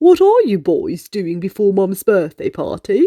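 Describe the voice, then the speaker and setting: At a moderate pace, a woman uses a put-on character voice. Her pitch is medium. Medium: read story. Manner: warm, friendly.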